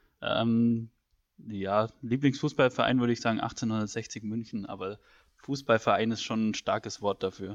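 Recorded dry and close with no echo against a quiet background, a man uses an ordinary speaking voice at medium pitch, speaking at a fairly slow pace with fairly even intonation. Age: 20s. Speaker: student podcast co-host. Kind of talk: casual chat.

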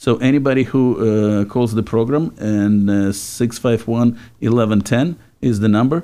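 The voice has a dark, mellow tone and very even loudness. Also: man, medium pitch for a man, ordinary pitch variation, moderate pace. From Czechoslovakia. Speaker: radio host. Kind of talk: casual chat. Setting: studio.

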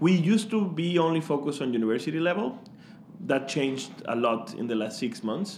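With a Mexican accent, a man speaks fairly quickly at a fairly high pitch, his voice making very wide pitch swings. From Mexico. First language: Spanish. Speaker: startup founder. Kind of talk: interview, casual chat. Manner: warm, enthusiastic.

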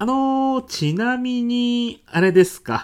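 A man does a put-on character voice at an extremely high pitch with lively intonation. His tone is clear and smooth, and his pace is slow.

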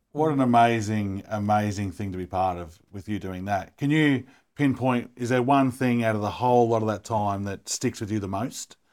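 Speaking with an Australian accent, a man talks at a moderate pace with hardly any pauses. His pitch is fairly low, and the recording is very clean with a silent background. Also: ordinary pitch variation. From Melbourne, Australia. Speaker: podcast co-host. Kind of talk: casual interview.

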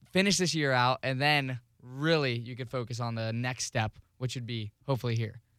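Recorded dry and close with no echo, a man speaks at a moderate pace and medium pitch with ordinary pitch variation, a normal speaking voice. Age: 20s. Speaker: radio associate producer and college student. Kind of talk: casual chat.

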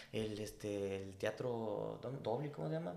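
A man's voice with very wide pitch swings, amid noticeable background noise and audible room echo. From Mexico. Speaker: podcast co-host. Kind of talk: casual chat.

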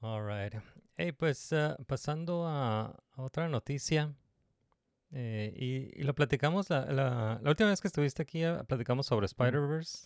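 In a dry, close sound with no echo, a man with a plain, everyday voice speaks at a fairly slow pace, his fairly high pitch varying in an ordinary way. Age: 30s. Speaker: podcast host. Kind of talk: casual chat.

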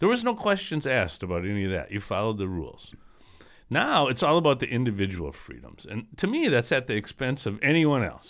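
In a very clean recording with a silent background, a man speaks at medium pitch with vocal fry. His pitch swings very widely. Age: 60s. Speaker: podcast co-host. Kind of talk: casual chat.

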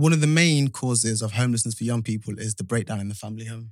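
A man with a slight Midlands accent speaks at a very fast pace, at medium pitch with ordinary pitch variation. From English Midlands, Nottingham. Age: 20s. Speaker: youth homelessness support worker. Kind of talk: podcast interview, personal testimony. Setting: studio.

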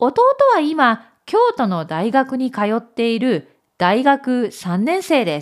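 Very slow and with very wide pitch swings, a woman speaks in a high voice. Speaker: Japanese teacher and storyteller. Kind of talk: dramatic storytelling narration, reading a story aloud. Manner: clear, slow, expressive narration, with a warmer voice for the dialogue.

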